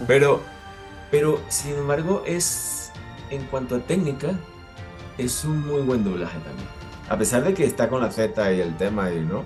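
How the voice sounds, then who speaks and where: Music plays in the background as a man speaks at a medium pitch with very wide pitch swings. His pace is fairly slow, with long, frequent pauses. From Venezuela. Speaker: actor, voice actor, announcer. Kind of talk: interview answer.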